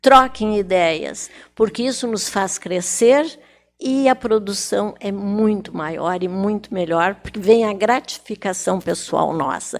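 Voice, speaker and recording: In a very clean recording with a silent background, a woman at medium pitch speaks at a very slow pace with ordinary pitch variation. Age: 80s+. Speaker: retired teacher and writer. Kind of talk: TV talk show interview.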